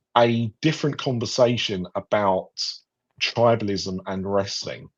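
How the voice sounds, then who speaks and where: A man with a British accent speaks at a medium pitch with fairly even intonation. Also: quiet background. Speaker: podcast host. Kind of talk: casual panel discussion. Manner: hesitant, many fillers.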